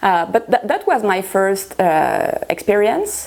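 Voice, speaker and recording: A woman speaks at a very slow pace. Noticeable background noise can be heard. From France. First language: French. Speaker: guitarist. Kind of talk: interview. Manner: halting, many fillers.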